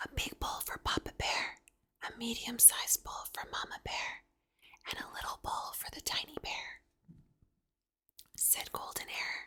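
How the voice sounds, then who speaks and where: A whispering speaker with a calm tone talks at a fairly slow pace, leaving long, frequent pauses. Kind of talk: whispered bedtime story reading. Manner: whispered, calm, slow.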